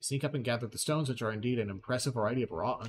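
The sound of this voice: An unforced reading voice, pitch moving in an ordinary way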